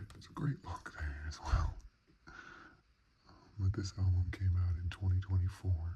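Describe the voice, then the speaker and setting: A man speaks softly at a fairly slow pace, his pitch very deep and low. His intonation stays fairly even, with a somewhat breathy sound. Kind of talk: CD collection review, ASMR browsing. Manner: soft-spoken.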